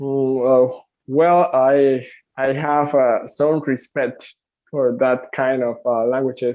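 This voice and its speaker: A man talks very slowly. His medium-pitched voice stays monotone and flat. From Cuba. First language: Spanish. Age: 20s. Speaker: English teacher. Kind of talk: interview. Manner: halting, many fillers.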